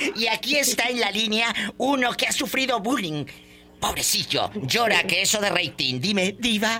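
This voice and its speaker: Raised and projected, a man's high voice moves at a moderate pace with lively intonation and very even loudness. Noticeable background noise can be heard behind him. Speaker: radio host. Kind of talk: call-in radio show. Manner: animated.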